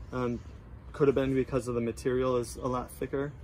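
A man speaks at a fairly quick pace while noticeable background noise carries on behind him. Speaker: product reviewer. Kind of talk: casual product review talk. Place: garden. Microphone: phone near.

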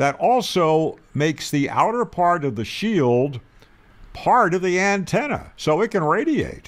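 With big pitch swings, a man speaks at a fairly slow pace in a high pitch.

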